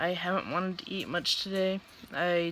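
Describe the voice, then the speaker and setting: Her intonation monotone and flat, a woman talks at a fairly slow pace and medium pitch. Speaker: vlogger sharing surgery recovery. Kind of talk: video diary. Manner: halting.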